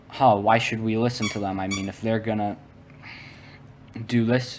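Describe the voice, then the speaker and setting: A man with an American accent speaks at a fairly slow pace in a medium pitch, his intonation monotone and flat, over noticeable background noise. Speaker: gaming youtuber. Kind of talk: casual commentary. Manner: halting, stuttering.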